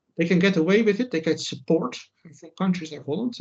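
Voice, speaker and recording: A man speaks with a Dutch accent and a creaky vocal fry. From Netherlands. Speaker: writer and commentator. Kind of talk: interview. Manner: halting, many fillers.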